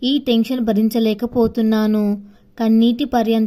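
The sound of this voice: The speaker reads in an unforced reading voice.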